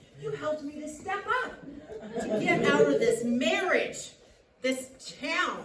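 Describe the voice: Amid strong room echo and faint crowd noise in the background, a woman does a high, fairly bright put-on character voice at a slow pace. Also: lively intonation.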